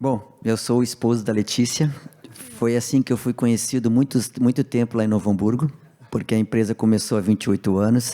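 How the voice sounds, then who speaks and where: This man has a dark, mellow tone at medium pitch. He speaks at a fairly quick pace with fairly even intonation. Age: 60s. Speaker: business owner. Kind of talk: panel discussion.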